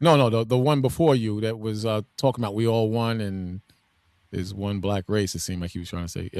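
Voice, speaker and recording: The man's pitch is fairly low with ordinary variation, and he speaks at a fairly quick pace. The sound is dry and close with no echo, on a very clean recording with a silent background. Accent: Brooklyn. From New York City (Brooklyn). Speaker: debate participant. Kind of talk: heated debate.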